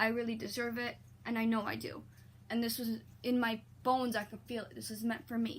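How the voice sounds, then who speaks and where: Over noticeable background noise, a woman talks at a fairly quick pace. Her fairly high voice stays monotone and flat. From Poland, moved to Ontario, Canada at about 8. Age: 20s. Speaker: vlogger. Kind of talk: personal testimony vlog. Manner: halting, many fillers and repetitions.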